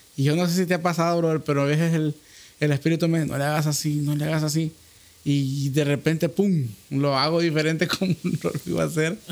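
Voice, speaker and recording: Speaking very fast, a man with a fairly high pitch keeps his intonation fairly even. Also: very even loudness. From Honduras. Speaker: podcast host. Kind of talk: casual chat.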